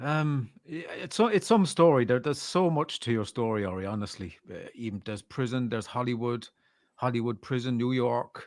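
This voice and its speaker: A man speaks in an Irish accent with lively intonation at a moderate pace. The recording is very clean, with a silent background. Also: medium pitch for a man, big swings in loudness. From Ireland. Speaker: podcast host. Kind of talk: interview.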